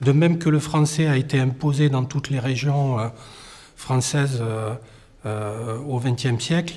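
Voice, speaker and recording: A man speaks at a medium pitch, somewhat breathy, with a dark, mellow tone. His pace is fairly slow and his intonation fairly even. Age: 50s. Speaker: documentary interviewee. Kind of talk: testimony. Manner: halting, many hesitations.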